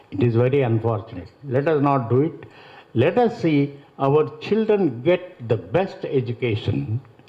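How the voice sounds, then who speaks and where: Against noticeable background noise, a man speaks at a fairly slow pace with very wide pitch swings. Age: 70s. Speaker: retired college principal and author. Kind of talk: speech at a literary festival. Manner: halting.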